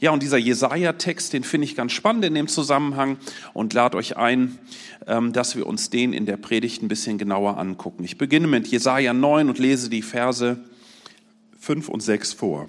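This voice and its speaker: A man has an ordinary speaking voice at medium pitch. He talks at a moderate pace with lively intonation. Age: 40s. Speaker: lay preacher. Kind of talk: sermon.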